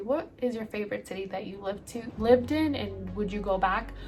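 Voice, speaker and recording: In an American accent, a woman speaks at a medium pitch against noticeable background noise. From El Salvador, then US from age six. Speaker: lifestyle vlogger. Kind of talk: casual vlog Q&A. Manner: chatty with many fillers.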